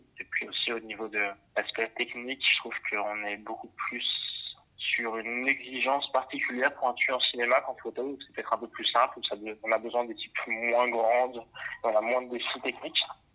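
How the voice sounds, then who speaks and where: A man talks at medium pitch and a moderate pace in a monotone, flat way, with big swings in loudness. Noticeable background noise runs underneath. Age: 20s. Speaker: camera assistant and photographer. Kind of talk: casual interview.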